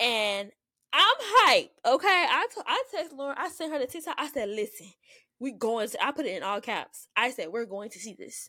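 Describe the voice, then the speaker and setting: In a Southern US accent, a woman with a high pitch and a bright, sharp tone raises and projects her voice, with very wide pitch swings and big swings in loudness, on a very clean recording with a silent background. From US South. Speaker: podcast co-host. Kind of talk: casual chat. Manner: fast talker.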